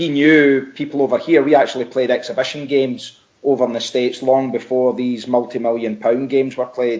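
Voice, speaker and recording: With a Scottish accent, a man speaks in a monotone, flat intonation with hardly any pauses. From Scotland. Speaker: football coach, former player. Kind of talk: podcast interview.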